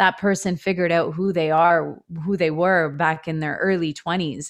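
A woman with a Canadian accent and a plain, everyday voice speaks at a moderate pace in a fairly low pitch with fairly even intonation, against a quiet background. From Ontario, Canada (Etobicoke, Toronto). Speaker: elementary school teacher. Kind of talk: casual interview chat.

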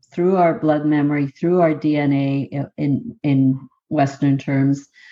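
In a Canadian Prairie accent, a woman speaks at a very slow pace. Her voice is very deep and low, with a dark, mellow tone. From southern Manitoba, Canada (Métis). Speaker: professor. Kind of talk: interview conversation.

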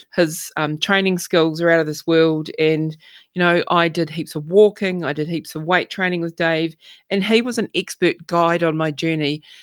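Recorded very cleanly with a silent background and a dry, close sound with no echo, a woman with an unremarkable speaking voice talks at a moderate pace in a fairly low pitch with fairly even intonation. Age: 50s. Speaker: podcast host. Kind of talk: personal monologue.

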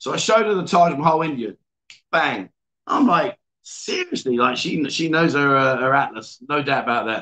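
With an English accent, a man speaks at a moderate pace in a fairly high pitch, his tone bright, sharp and animated and his intonation lively. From England. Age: 50s. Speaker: livestream host. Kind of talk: casual chat. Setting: bar.

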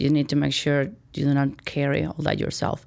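A woman's very deep, low pitch on a very clean recording with a silent background. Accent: Spanish. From Mexico, Chihuahua. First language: Spanish. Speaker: corporate vice president. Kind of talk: interview.

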